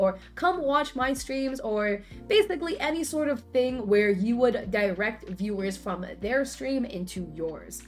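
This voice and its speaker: A woman's fairly high voice with very wide pitch swings and a fairly slow pace, music in the background. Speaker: Twitch streamer. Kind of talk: casual talk to camera.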